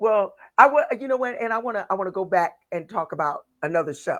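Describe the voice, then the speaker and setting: Speaking at a moderate pace with lively intonation, a woman is heard in a very clean recording with a silent background. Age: 60s. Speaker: blues singer and radio host. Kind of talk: casual chat.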